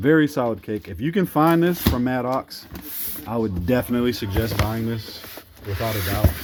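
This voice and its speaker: A man speaks with lively intonation. Noticeable background noise runs underneath. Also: medium pitch for a man, moderate pace. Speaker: fireworks hobbyist vlogger. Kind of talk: casual product review.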